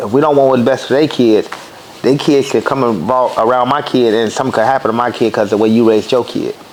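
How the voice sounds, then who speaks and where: Noticeable background noise sits behind a man at medium pitch. He speaks at a very fast pace with fairly even intonation. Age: 30s. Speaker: podcast host. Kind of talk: casual interview.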